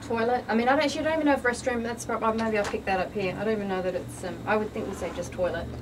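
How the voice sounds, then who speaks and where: A woman with an Australian accent at a fairly high pitch, very fast with hardly any pauses, ordinary pitch variation, noticeable background noise and audible room echo. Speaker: fitness model and bikini competitor. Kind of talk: radio interview. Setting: studio.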